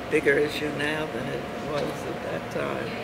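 Over loud background noise, a woman speaks at a moderate pace with an American accent. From United States. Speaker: dance teacher and arts administrator. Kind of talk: casual conversation. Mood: warm, reflective. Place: cafe.

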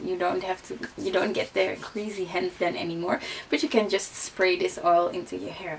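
A woman speaks with a Dutch accent at a medium pitch and moderate pace. Her pitch variation is ordinary, with light background noise. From Netherlands. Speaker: beauty vlogger. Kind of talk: casual vlog talk. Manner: hesitant, many fillers. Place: home room.

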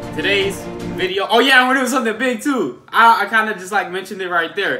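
A man's raised, projected voice at a fairly quick pace, with music in the background. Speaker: youtuber. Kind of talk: casual vlog chat. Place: home room. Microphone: phone near.

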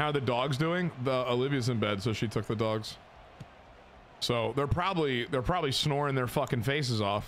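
An animated man with an American accent, at a moderate pace, ordinary pitch variation and very even loudness, over light background noise. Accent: Southern, he denies it. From Texas. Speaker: video game streamer; game streamer. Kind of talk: casual live-stream gaming chat.

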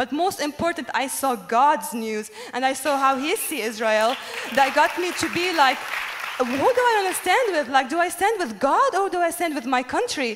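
Crowd noise fills the background as a woman with a Lebanese accent speaks at a high pitch with very wide pitch swings. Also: moderate pace. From Lebanon. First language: Arabic. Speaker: musician. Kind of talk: testimony. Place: stage. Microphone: handheld.

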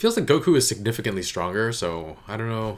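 The intonation is lively. The pace is moderate. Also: man. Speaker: reaction video host. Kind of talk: casual reaction commentary. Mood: amused, laughing. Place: home room. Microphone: studio mic.

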